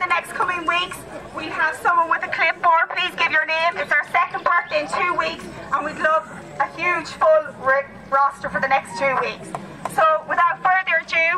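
A woman's raised, projected voice at a moderate pace, ordinary pitch variation, crowd noise behind her. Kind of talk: pre-race briefing announcement. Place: forest.

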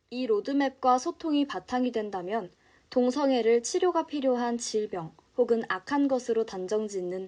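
Against a quiet background, a woman with a high pitch and a dark, mellow tone speaks at a moderate pace. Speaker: broadcaster / announcer. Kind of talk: card-news narration, informative.

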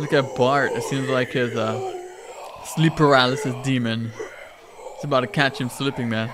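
With noticeable noise behind him, a man keeps a moderate pace and fairly even intonation. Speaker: reaction streamer. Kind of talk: casual reaction commentary. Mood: amused, joking.

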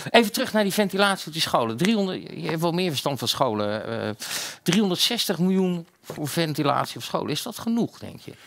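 Very wide pitch swings and big swings in loudness at a moderate pace, over a quiet background. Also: man, high pitch for a man. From Netherlands. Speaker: talk show host. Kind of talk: casual chat. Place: studio. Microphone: headset.

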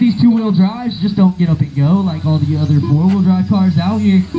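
A man's high-pitched voice with a dark, mellow tone, fairly even intonation and faint background noise.

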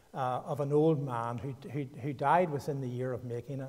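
In a Northern Irish accent, a man speaks with a somewhat breathy voice and fairly even intonation. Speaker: guest preacher. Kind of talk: sermon. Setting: church.

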